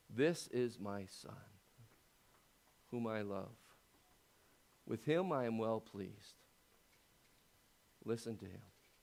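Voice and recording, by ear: A man's booming, put-on character voice at a medium pitch, fairly slow, with long, frequent pauses.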